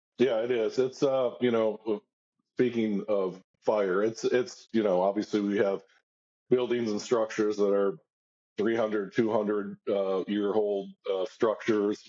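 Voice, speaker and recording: A man with an American accent speaks at a fairly slow pace in a normal speaking voice, his fairly low pitch carrying fairly even intonation. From Cincinnati, Ohio. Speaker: fire lieutenant. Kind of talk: casual chat.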